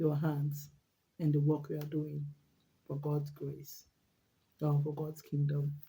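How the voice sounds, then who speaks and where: Very slow, with long, frequent pauses, a woman speaks in a very deep, low pitch with monotone, flat intonation and a dark, mellow, somewhat breathy tone. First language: not English. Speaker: vlogger. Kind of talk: casual monologue vlog. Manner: halting, with repetitions.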